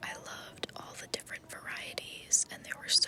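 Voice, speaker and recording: A woman whispers over noticeable background noise. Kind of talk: ASMR vlog narration, whispered and soft-spoken. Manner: whispered, soft-spoken.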